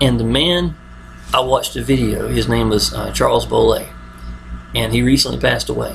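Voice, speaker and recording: A man with an American accent mumbles at a moderate pace. Background noise is noticeable. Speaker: online marketer. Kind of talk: video monologue. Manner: mumbling; casual, repetitive fillers.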